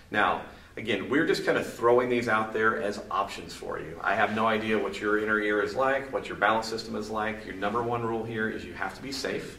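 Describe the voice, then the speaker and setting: A man's fairly quick delivery with fairly even intonation, set in audible room echo. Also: hardly any pauses. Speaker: movement and balance training instructor. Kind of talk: instructional video tutorial. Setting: filmed on camera. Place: gym.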